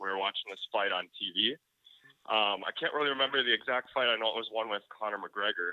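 In a plain, everyday voice, a man speaks at a fairly quick pace with a medium pitch and ordinary pitch variation. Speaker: fireworks YouTuber. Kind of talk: casual chat.

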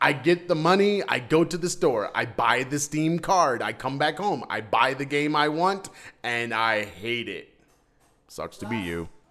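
A man with a fairly high-pitched voice speaks at a fairly slow pace with lively intonation over music in the background. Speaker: podcast co-host. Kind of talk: casual chat. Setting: home studio. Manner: loud.

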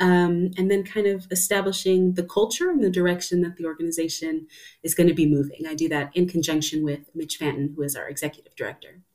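An American accent comes through as a woman speaks at a fairly quick pace. She has an ordinary speaking voice with a fairly low pitch. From US Southwest. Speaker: choir artistic director. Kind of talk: interview.

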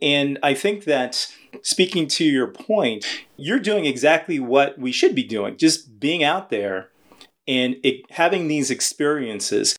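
A man with an American accent talks in an ordinary speaking voice, fairly high in pitch, at a fairly slow pace with lively intonation. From Los Angeles. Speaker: podcast host. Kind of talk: interview.

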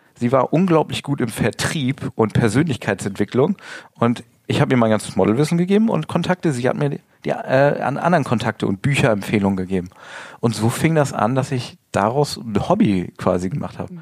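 With very wide swings in pitch, this man delivers his words at a fairly quick pace. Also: medium pitch for a man. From northern Germany, rural area between Bremen and Hamburg. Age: 40s. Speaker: model and Instagram coach. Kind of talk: interview. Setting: studio.

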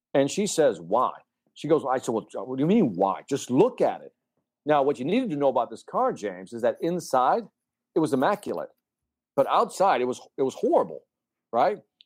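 A man with vocal fry at a fairly quick pace, with very wide pitch swings. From Chicago, Puerto Rican family. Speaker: sales speaker and TV host. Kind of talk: interview. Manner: animated.

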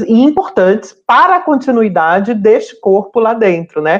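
At a fairly slow pace, a woman with a normal speaking voice talks at a medium pitch with lively intonation. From Brazil, Ceará (Fortaleza). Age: 40s. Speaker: navy sergeant and LGBT rights activist. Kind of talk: interview testimony.

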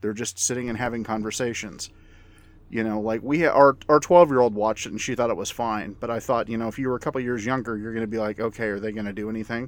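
With a very clean recording and a silent background, a man talks very fast at a medium pitch with fairly even intonation. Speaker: podcast panelist and film reviewer. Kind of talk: casual review discussion.

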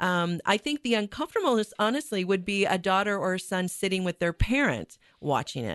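A woman with an ordinary speaking voice talks at a fairly quick pace with hardly any pauses, using lively intonation and a medium pitch, in a dry, close sound with no echo. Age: 50s. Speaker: theater director and producer. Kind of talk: radio interview. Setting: radio studio.

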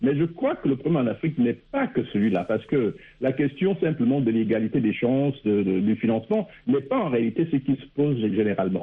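Here is an unremarkable speaking voice from a man. His pitch is medium and his pace fairly quick. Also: lively intonation, hardly any pauses. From Gabon. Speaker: political analyst. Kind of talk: radio panel discussion.

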